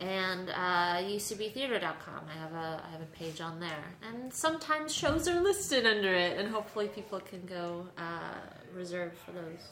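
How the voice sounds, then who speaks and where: The speaker, in an American accent, keeps a moderate pace with hardly any pauses and ordinary pitch variation. Loudness swings widely, and background noise is noticeable. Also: woman, medium pitch for a woman. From New York City. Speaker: improv comedian. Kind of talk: casual chat.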